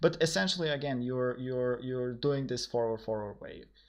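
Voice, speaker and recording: With a Macedonian accent, a man at medium pitch talks at a fairly slow pace with ordinary pitch variation. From North Macedonia. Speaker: programmer streaming a coding session. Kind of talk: live stream coding chat. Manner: halting, many fillers and repetitions.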